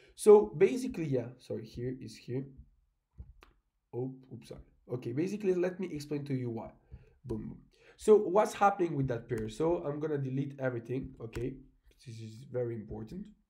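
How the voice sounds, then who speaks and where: Somewhat breathy, a man of medium pitch speaks at a fairly quick pace. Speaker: forex trader and trading coach. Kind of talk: screen-share market analysis tutorial. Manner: casual, halting with fillers.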